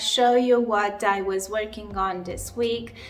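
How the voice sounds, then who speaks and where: A woman speaks at a very slow pace in a room with audible echo. Noticeable background noise sits under her voice. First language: not English. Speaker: crochet designer, channel host. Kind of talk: casual vlog chat. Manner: hesitant, many fillers.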